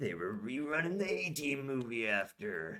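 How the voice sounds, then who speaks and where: A man's put-on character voice, medium in pitch, with very wide pitch swings. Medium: read story. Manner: gruff.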